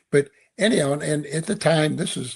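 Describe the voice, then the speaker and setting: A man's somewhat breathy voice moves at a medium tempo, its pitch varying in an ordinary way. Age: 70s. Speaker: author and leadership speaker. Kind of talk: podcast interview. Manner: halting, repeats words.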